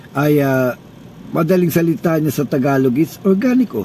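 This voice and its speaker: Over noticeable background noise, a man speaks at a fairly slow pace with a fairly high pitch and ordinary pitch variation. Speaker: organic health vlogger. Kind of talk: casual talk to camera. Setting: inside a car.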